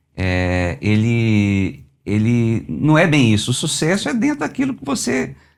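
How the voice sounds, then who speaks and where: A man talking at a fairly slow pace, his pitch swinging very widely. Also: medium pitch for a man. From Belo Horizonte, Minas Gerais, Brazil. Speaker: automotive engineer and musician. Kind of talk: interview answer.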